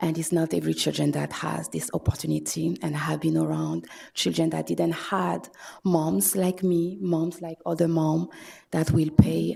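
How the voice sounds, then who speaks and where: The speaker has a French accent. The pace is moderate. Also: woman. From France. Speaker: public commenter, mother and student. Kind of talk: public comment at city meeting. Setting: city commission chambers. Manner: halting.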